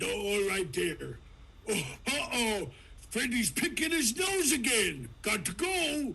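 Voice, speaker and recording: A man puts on a cartoonish character voice, high in pitch, at a fairly slow pace. Light background noise can be heard. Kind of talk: cartoon impression, big goofy cartoon cat voice. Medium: game stream. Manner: folksy, goofy, ends phrases with "there".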